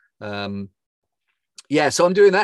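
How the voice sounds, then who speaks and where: Recorded very cleanly with a silent background and a dry, close sound with no echo, a man talks at a moderate pace with very wide pitch swings. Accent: English. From England. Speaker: football commentator. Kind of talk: casual chat. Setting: podcast. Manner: hesitant, many fillers.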